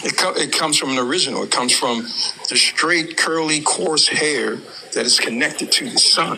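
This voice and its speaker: A man speaks at a moderate pace with a fairly high pitch. Noticeable background noise runs under his voice. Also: ordinary pitch variation. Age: 60s. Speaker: caller in debate stream. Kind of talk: heated debate.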